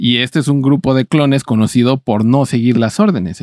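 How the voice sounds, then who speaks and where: A man with a dark, mellow tone and ordinary pitch variation is heard in a dry, close sound with no echo. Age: 20s. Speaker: podcast co-host. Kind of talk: casual chat.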